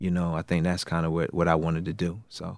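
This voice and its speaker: Talking at a very fast pace, a man with an American accent has a very deep, low pitch, recorded very cleanly over a silent background. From Raleigh, North Carolina. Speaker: assistant basketball coach. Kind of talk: interview.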